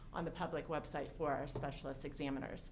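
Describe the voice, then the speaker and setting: There is audible room echo around a woman whose voice sits very deep and low. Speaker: director of medical services. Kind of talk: formal presentation at public meeting. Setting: hearing room, in person meeting. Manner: hesitant, many fillers.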